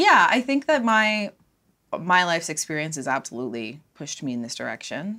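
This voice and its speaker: Speaking fairly quickly with a Cape Breton accent, a woman with a fairly low pitch and a bright, sharp tone makes very wide pitch swings and big swings in loudness. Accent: Cape Breton Canadian English. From Cape Breton, Nova Scotia, Canada. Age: 30s. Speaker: social services student. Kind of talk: casual chat.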